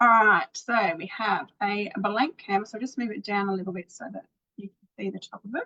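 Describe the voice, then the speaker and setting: With an unremarkable speaking voice, a woman talks at a moderate pace and medium pitch, using ordinary pitch variation and big swings in loudness, in a dry, close sound with no echo. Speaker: painting teacher. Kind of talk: tutorial. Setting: live video stream.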